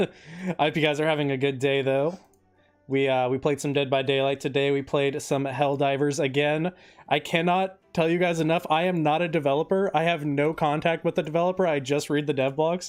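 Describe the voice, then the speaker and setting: Over music in the background, a man with a fairly high pitch speaks at a fairly quick pace, his loudness very even and his intonation fairly even. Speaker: gaming streamer. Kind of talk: live gameplay stream chat. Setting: live stream. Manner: casual, chatty.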